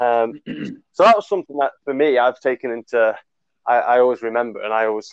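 This man's voice sits at a medium pitch. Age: 20s. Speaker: podcast guest. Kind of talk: casual chat.

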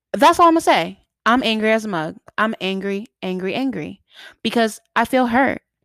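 In a normal speaking voice, a woman with an American accent speaks at a fairly high pitch and moderate pace with lively intonation, in a dry, close sound with no echo. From Boston, Massachusetts. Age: 20s. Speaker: podcaster. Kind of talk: solo podcast monologue. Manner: casual, filler-heavy.

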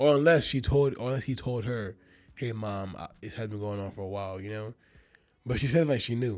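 A man with an American accent speaks in a normal speaking voice at a medium pitch and a fairly quick pace. His loudness swings widely on a very clean recording with a silent background. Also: ordinary pitch variation. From Nigerian American, grew up in the US. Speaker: podcast co-host. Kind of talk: casual chat.

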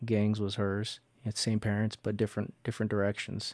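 A man with an American accent, fairly low in pitch and dark and mellow in tone, talking fairly quickly in a monotone, flat intonation on a very clean recording with a silent background. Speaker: Marine reservist and father. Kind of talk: casual interview.

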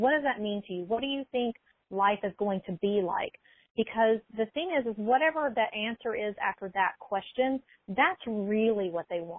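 A woman with an American accent and a normal speaking voice talks at a moderate pace, her fairly high pitch carried by lively intonation. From US South, small-town Alabama. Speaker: mindset coach. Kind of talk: casual interview.

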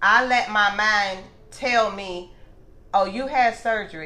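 Audible room echo surrounds a woman's medium-pitched voice, which has a bright, sharp tone. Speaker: gastric bypass patient. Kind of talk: interview.

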